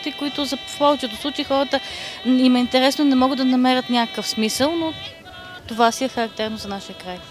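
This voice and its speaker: Music plays in the background as a woman with a western Bulgarian accent speaks at a fairly quick pace. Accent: Shop dialect. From Bulgaria, Shopluk region. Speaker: folk singer, leader of a vocal trio. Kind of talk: interview. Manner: hesitant, with filler sounds.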